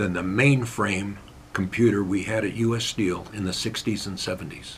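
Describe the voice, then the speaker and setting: A man with an American accent sounds somewhat breathy. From Pennsylvania. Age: 70s. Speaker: mayor. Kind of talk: casual interview.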